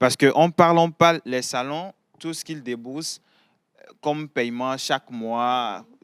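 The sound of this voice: Recorded dry and close with no echo, a man talks at a fairly slow pace and medium pitch, his tone fairly bright, clear and smooth, with fairly even intonation.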